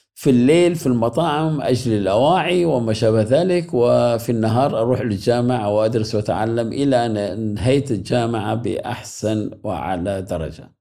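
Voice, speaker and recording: A man talks at a fairly slow pace in a dark, mellow tone. His intonation is lively. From Iraq, Mosul. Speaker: graphic designer and professor. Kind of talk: interview.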